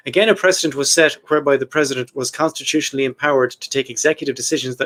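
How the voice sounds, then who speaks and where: In an Irish accent, a man with a fairly high voice and ordinary pitch variation talks very fast, the sound dry and close with no echo. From Ireland. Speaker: podcast host. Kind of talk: casual chat about history. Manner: reading from notes.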